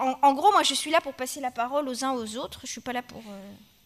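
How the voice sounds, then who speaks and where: A high-pitched woman over a quiet background. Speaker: moderator. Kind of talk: panel discussion. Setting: stage with audience. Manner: halting. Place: classroom. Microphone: podium.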